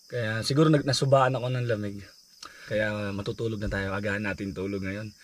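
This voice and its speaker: A man at a fairly quick pace. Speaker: vanlife vlogger. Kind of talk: casual vlog talk to camera.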